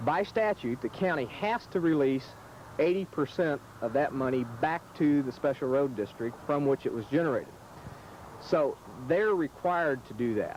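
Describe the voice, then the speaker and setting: A man with a normal speaking voice talks at a moderate pace, his pitch fairly high and his intonation lively. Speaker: attorney. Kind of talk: interview answer.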